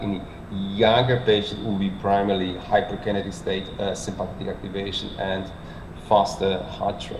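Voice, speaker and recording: A man with a Polish accent, fairly low in pitch, at a moderate pace, amid noticeable background noise and audible room echo. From Poland. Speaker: cardiologist, medical lecturer. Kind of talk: lecture. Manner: halting, many fillers.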